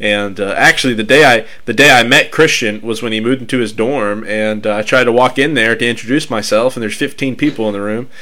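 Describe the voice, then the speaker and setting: The talk runs at a fairly quick pace with hardly any pauses. Noticeable background noise is present. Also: man, medium pitch for a man, fairly even intonation. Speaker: ministry podcast host. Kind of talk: casual chat. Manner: halting.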